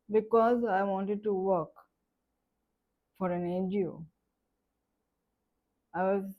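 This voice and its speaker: A woman with a medium-pitched voice talks very slowly. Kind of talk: personal life story talk.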